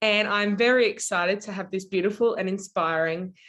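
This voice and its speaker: At a moderate pace, a woman speaks in an Australian accent. Her voice sits at medium pitch. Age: 20s. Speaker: podcast host. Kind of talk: interview.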